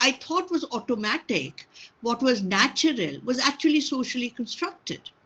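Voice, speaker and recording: Very wide pitch swings at a moderate pace. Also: woman. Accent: Bengali. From India, Bengal. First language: Bengali. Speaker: sociology professor. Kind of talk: lecture Q&A. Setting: video call. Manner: hesitant, many fillers.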